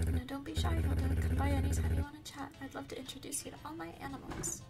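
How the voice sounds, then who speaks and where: Loud music plays behind a woman who speaks at a very fast pace. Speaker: gamer. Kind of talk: gaming ASMR commentary. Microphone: studio mic.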